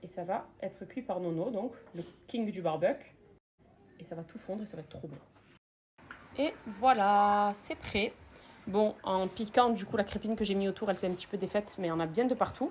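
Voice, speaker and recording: Somewhat breathy, a woman speaks at medium pitch and moderate pace with ordinary pitch variation and long, frequent pauses. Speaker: lifestyle vlogger. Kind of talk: cooking tutorial vlog. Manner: casual, animated.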